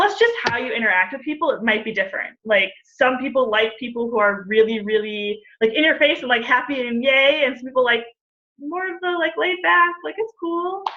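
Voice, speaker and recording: High-pitched woman with an animated tone, very wide pitch swings, and a fairly quick pace. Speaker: fitness coach. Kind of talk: webinar Q&A. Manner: fast.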